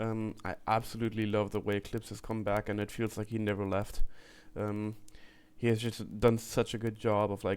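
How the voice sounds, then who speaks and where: A man speaks at a fairly low pitch in a monotone, flat delivery, on a very clean recording with a silent background. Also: moderate pace. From Germany. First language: German. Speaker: music reaction youtuber. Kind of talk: casual reaction commentary.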